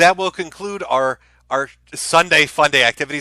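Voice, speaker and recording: This man's voice is high-pitched, with a bright, sharp tone and fairly even intonation. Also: very clean recording, silent background. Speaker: livestreamer. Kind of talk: casual chat. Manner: casual, halting.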